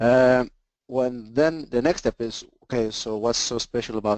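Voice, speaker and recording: The man's medium-pitched voice has a dry, close sound with no echo. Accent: slight Swedish. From Sweden. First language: Swedish. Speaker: engineering sales presenter. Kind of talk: webinar presentation. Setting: online webinar.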